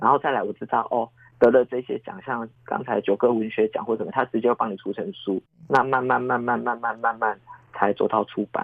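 Over noticeable background noise, a man talks at a fairly quick pace. His pitch is medium with ordinary variation. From Taiwan, Taichung Harbor area. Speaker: children's author. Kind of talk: interview. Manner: animated.

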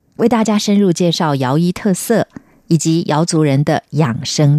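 With a dark, mellow tone, a woman speaks at a fairly low pitch. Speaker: radio host. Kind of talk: radio announcement; interview.

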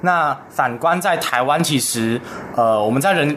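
At a fairly slow pace, a man speaks with lively intonation over noticeable background noise. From Taiwan. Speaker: university student. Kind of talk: radio interview.

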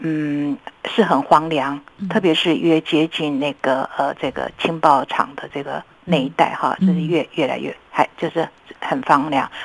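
A woman talks with a very deep, low pitch and fairly even intonation at a fairly slow pace. Noticeable background noise is present. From Taiwan. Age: 60s. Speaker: writer and columnist. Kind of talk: interview. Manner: halting, many filler sounds.

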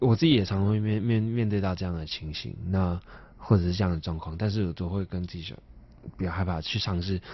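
Someone with a Taiwanese accent speaks at a fairly quick pace with ordinary pitch variation. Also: man, very deep, low pitch for a man. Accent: Taiwanese Mandarin. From Taipei, Taiwan (Neihu). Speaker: singer-songwriter. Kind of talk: interview.

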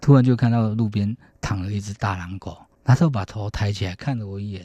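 A man's somewhat breathy, fairly low voice with a dark, mellow tone at a fairly quick pace, on a very clean recording with a silent background. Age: 40s. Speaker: harpist. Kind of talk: radio interview.

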